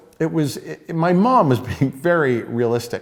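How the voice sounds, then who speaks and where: Fairly slow speech in a Midwestern American accent. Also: man. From suburban Detroit. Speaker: actor. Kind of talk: interview answer.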